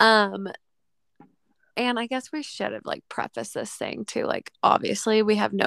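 A woman speaks with an American accent in a dry, close sound with no echo. The recording is very clean, with a silent background. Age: 20s. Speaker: podcast co-host, mom. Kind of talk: casual chat.

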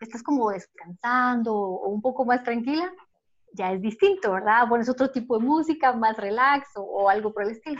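With a Guatemalan accent, a woman speaks at a high pitch and a moderate pace. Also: quiet background. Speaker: podcast co-host. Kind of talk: casual chat.

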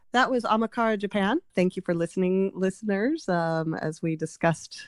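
A woman with a normal speaking voice speaks at medium pitch and a moderate pace, with lively intonation. The sound is dry and close with no echo, in a very clean recording over a silent background. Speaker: podcast host. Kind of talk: casual chat.

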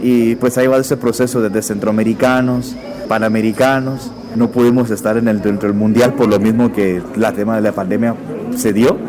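Over noticeable background noise, a man of medium pitch speaks at a moderate pace with monotone, flat intonation and very even loudness. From Guatemala. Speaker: Paralympic athlete. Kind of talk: radio interview.

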